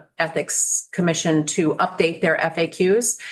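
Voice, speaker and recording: This woman's speech keeps a moderate pace. There is noticeable background noise throughout. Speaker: state secretary of state testifying to committee. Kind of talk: committee testimony.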